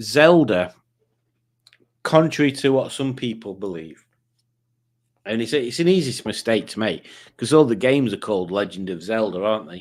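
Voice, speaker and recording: Speaking at a moderate pace with lively intonation, this voice has big swings in loudness and long, frequent pauses, captured in a very clean recording with a silent background. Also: man, medium pitch for a man. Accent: Yorkshire. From Yorkshire, northern England. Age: 50s. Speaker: quiz show host streamer. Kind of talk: casual livestream quiz.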